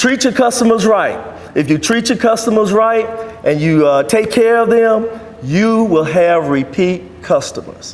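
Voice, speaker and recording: A man talks at a fairly slow pace in a high pitch, with lively intonation and very even loudness. Noticeable background noise is present. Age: 60s. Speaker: DJ and entrepreneur. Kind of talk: presentation to a networking group.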